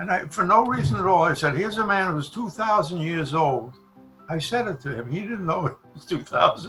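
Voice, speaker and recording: A man's high-pitched voice in a New York accent, fairly quick and with lively intonation, over music in the background. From The Bronx, New York. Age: 80s+. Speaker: comedy writer and performer. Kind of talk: interview answer.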